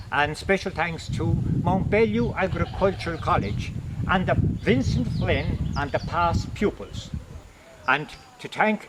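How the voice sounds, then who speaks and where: There is noticeable background noise as a man with an Irish accent speaks at a fairly slow pace and a high pitch. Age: 70s. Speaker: religious brother and retired agriculture teacher. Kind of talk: video address.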